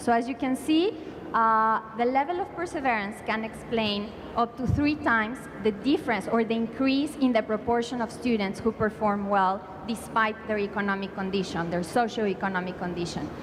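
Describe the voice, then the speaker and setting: A woman with a Spanish accent at a moderate pace, fairly high-pitched with ordinary pitch variation, amid audible room echo and noticeable background noise. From Mexico. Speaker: education policy panelist. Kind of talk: conference panel presentation. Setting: conference panel. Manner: hesitant, many fillers.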